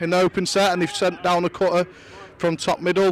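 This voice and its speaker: Crowd noise fills the background as a man talks at a fairly quick pace. His voice is high in pitch and monotone, with flat intonation. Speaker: lacrosse commentator. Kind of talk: live sports commentary.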